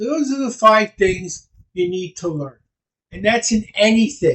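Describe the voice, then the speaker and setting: Loud and high-pitched, a man speaks at a fairly slow pace. His intonation is lively. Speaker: speed reading teacher. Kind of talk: presentation on a video call. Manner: animated.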